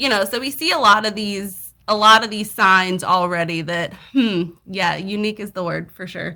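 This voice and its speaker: Bright, sharp tone from a woman at medium pitch, in a Southern accent, on a very clean recording with a silent background. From US South. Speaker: podcast guest. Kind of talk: casual chat.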